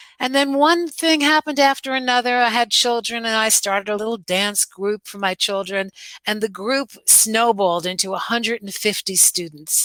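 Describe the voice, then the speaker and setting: A woman speaks with a New York accent and a bright, sharp tone. The sound is dry and close, with no echo. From New York (Brooklyn, Westchester). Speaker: dance teacher. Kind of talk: interview. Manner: animated.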